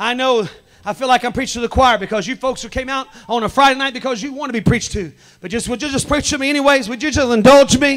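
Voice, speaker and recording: Very fast, passionate speech with ordinary pitch variation against a quiet background. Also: man, extremely high pitch for a man. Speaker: pastor. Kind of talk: apostolic sermon at a tent revival. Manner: passionate, call-and-response preaching. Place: tent. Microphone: handheld.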